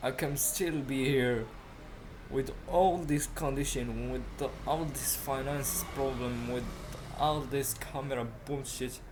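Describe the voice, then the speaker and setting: Over noticeable background noise and audible room echo, a man with a non-native accent speaks very slowly at a medium pitch. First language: not English. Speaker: self-improvement podcaster. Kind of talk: casual monologue. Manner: halting; animated. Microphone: laptop mic, poor audio quality.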